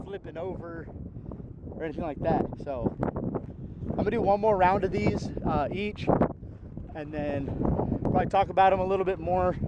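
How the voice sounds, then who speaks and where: Shouting loudly at a high pitch with ordinary pitch variation, a man is heard over noticeable background noise. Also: moderate pace. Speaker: disc golf reviewer. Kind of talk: product review while throwing. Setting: outdoors in strong wind. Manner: loud, yelling over wind. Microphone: poor audio from wind.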